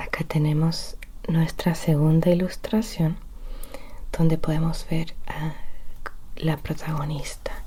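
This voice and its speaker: A very slow pace with long, frequent pauses. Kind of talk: bedtime story reading. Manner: soft-spoken.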